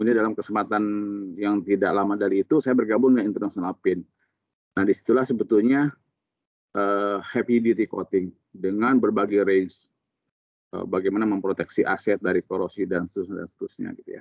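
Against a quiet background, a man with a fairly low pitch talks at a very fast pace with fairly even intonation. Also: dry sound with no echo. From Sukabumi, West Java, Indonesia; West Java, Indonesia. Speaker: coating technical expert and instructor; instructor. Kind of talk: technical interview. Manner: casual, explanatory. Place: office. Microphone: video call.

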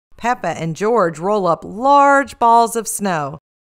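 Someone reads the text aloud in a natural voice. The intonation rises and falls in a lively way.

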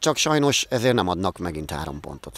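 Recorded dry with no echo, a man speaks at a moderate pace with very wide pitch swings. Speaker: women's football coach. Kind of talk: post-match interview; interview answer. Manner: hesitant, repeating words. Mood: disappointed but hopeful. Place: stadium. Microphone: handheld.

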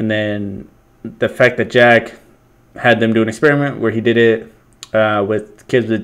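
The background stays quiet while the words come at a moderate pace. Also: man. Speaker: reaction commentator. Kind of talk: casual reaction commentary. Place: home room. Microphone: webcam.

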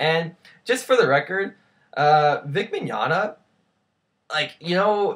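A man speaks at a slow pace in a fairly high pitch. His intonation is lively and his tone fairly bright.

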